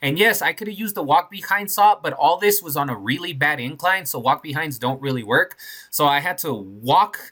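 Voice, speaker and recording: On a very clean recording with a silent background, a man speaks at a moderate pace in a bright, sharp tone, with a fairly high pitch and lively intonation. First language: not English. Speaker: concrete contractor. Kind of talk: casual job-site vlog narration.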